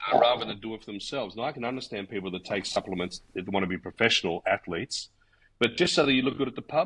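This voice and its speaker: Speaking in an Australian accent, a man talks at a very fast pace and medium pitch with lively intonation. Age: 60s. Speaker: martial arts instructor. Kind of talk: casual chat. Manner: halting, many fillers.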